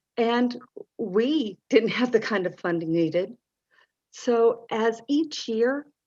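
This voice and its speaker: A woman with an American accent, fairly high-pitched, speaking very slowly with lively intonation against a quiet background. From North Carolina. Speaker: parent advocate. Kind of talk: mock lobbying meeting.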